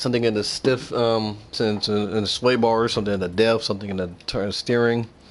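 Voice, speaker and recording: At a fairly quick pace, a man speaks in a monotone, flat intonation at a medium pitch. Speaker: game streamer. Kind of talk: gameplay livestream commentary. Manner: casual, rambling; stuttering.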